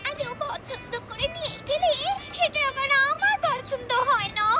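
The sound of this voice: A woman's cartoonish character voice at an extremely high pitch and moderate pace, with clear music in the background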